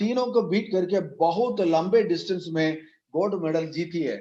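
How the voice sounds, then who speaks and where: A dark, mellow tone with lively intonation and a Tamil accent. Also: man. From Tamil Nadu, South India. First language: Tamil (speaking Hindi). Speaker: network marketing leader. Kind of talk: motivational speech.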